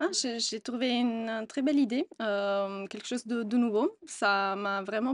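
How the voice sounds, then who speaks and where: Speaking at a moderate pace with an Italian accent, a woman with a fairly high pitch and ordinary pitch variation sounds dry and close with no echo against a quiet background. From Italy. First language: Italian (speaking French). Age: 20s. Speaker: customer service employee. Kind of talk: interview testimony. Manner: hesitant, many fillers.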